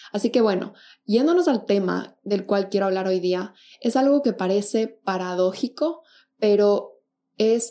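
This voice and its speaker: A woman with a medium pitch and a dark, mellow tone talks on a very clean recording against a silent background. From Ecuador, Quito. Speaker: podcast host, psychology. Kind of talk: solo podcast talk.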